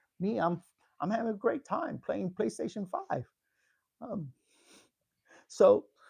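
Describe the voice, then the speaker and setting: With long, frequent pauses, a man speaks at a fairly slow pace. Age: 60s. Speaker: YouTuber hosting a live discussion. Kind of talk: livestream monologue. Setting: YouTube live stream. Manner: halting, with many fillers and repeated words.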